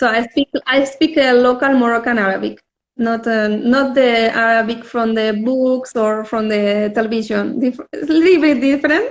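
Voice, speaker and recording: Pitched high for a woman, a woman speaks with a Spanish accent at a moderate pace, with ordinary pitch variation and hardly any pauses. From Spain. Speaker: visual artist. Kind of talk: casual interview. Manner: halting, many fillers.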